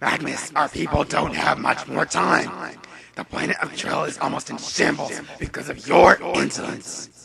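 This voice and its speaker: A man uses a raspy, put-on character voice. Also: moderate pace. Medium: audio drama. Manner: stern, scornful.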